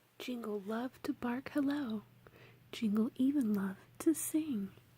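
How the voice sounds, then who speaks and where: A woman speaks in a dark, mellow tone that is somewhat breathy. Her delivery is relaxed, with ordinary pitch variation. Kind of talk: ASMR children's book reading. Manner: soft-spoken, whispering, relaxed.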